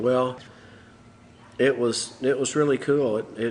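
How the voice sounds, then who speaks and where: A man with a Texas accent speaks with fairly even intonation. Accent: Texas drawl. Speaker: musician. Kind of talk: interview answer.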